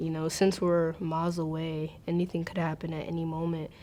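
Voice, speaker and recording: With an American accent, a woman speaks at a fairly slow pace. Her voice is fairly low in pitch, with a dark, mellow tone. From US, Maryland. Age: 20s. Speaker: university student. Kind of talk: personal interview testimony. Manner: hesitant, many fillers.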